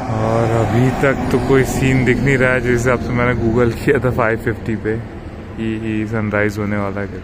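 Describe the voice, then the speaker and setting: Fairly slow speech under loud background noise. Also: man. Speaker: vlogger. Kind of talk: casual vlog chat. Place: bicycle. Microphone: phone near.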